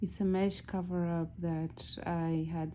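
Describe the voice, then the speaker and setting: Fairly even intonation runs through a dark, mellow tone. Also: woman. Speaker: crochet tutorial creator. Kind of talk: tutorial. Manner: casual, with frequent fillers.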